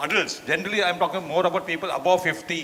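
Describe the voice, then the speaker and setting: Noticeable background noise sits behind a man speaking. He talks at a very fast pace with a high pitch. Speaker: doctor giving a talk. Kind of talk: lecture.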